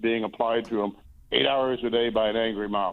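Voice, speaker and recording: A man speaks in a normal speaking voice at medium pitch and a moderate pace, with ordinary pitch variation. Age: 60s. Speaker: Senate candidate. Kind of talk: radio interview.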